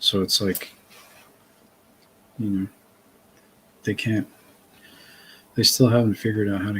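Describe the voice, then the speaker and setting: A fairly low-pitched man with a slight Massachusetts accent, at a moderate pace, with long, frequent pauses. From Massachusetts, north of Boston. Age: 40s. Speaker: author and interview guest. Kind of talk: casual chat.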